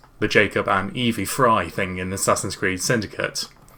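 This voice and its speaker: With noticeable background noise behind him, a man speaks at a moderate pace with fairly even intonation. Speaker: gaming streamer reacting to a video. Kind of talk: reaction commentary. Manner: halting.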